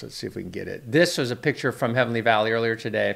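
A man with ordinary pitch variation against a quiet background. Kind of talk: commentary. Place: office. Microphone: studio mic.

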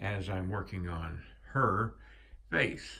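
A man's somewhat breathy voice. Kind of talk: casual vlog chat. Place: workshop. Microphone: phone near.

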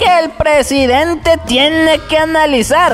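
Clear music in the background accompanies a cartoonish character voice. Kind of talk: satirical political news commentary. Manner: mocking, gossipy.

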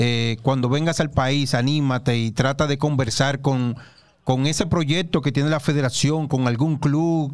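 A man with a Dominican accent, fairly high pitch, fairly even intonation and a moderate pace. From Dominican Republic. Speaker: basketball show host. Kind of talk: sports talk show interview. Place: studio. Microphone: studio mic.

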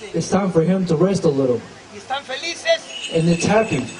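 At a moderate pace, the speaker talks over noticeable background noise. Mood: solemn, spiritual. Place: open country.

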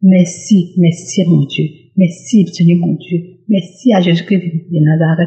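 At a very slow pace, the speaker sounds somewhat breathy. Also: woman, fairly low pitch for a woman, fairly even intonation. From Côte d'Ivoire. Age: young. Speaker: testimony giver. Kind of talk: testimony.

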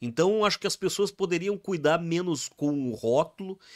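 This man has a high pitch and ordinary pitch variation. The background is quiet. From Rio Grande do Sul, Brazil. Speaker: musician; podcast guest. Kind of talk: casual chat. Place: studio. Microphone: studio mic.

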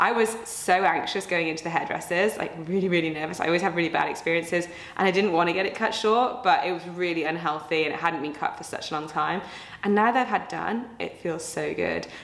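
A woman with a fairly low voice speaks very fast, with audible echo in the room. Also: ordinary pitch variation. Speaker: fitness coach. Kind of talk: casual vlog chat. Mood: cheerful, chatty. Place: home room.

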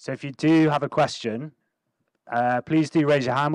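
A man with fairly even intonation, in dry sound with no echo and a quiet background. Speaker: event organiser and moderator; moderator. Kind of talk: event hosting. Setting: stage with audience. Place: hall. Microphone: handheld.

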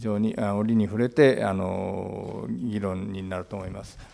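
With ordinary pitch variation, this man's voice sits fairly low. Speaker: moderator, journalist. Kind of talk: press conference moderation. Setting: press conference. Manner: halting. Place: hall. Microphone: podium.

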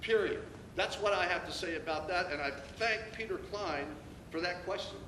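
A man projects a raised voice at a high pitch and a moderate pace, with ordinary pitch variation. Noticeable background noise and audible room echo surround him. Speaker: acting school superintendent. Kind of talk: public forum Q&A. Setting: public meeting room with audience. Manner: loud; animated.

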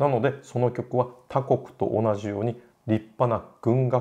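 Against a quiet background, a man speaks in a dark, mellow tone with fairly even intonation. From Japan. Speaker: classical music educator, opera singer; classical music educator. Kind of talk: lecture; casual chat. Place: home room.

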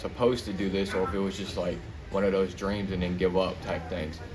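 A man talks in a very deep, low voice. His intonation stays fairly even over noticeable background noise. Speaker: young boxer. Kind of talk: casual interview. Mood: reflective, personal story. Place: gym.

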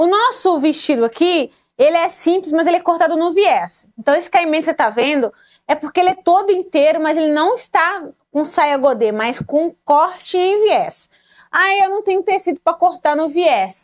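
A woman's extremely high-pitched voice with lively intonation, a moderate pace and a quiet background. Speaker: sewing channel host. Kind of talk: tutorial. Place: home room. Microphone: lapel.

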